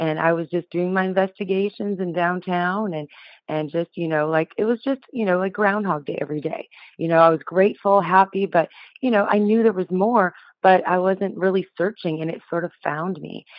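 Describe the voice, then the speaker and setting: At a moderate pace, a woman speaks in an unremarkable speaking voice with a medium pitch that varies in an ordinary way. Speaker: hypnotherapist. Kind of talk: podcast interview.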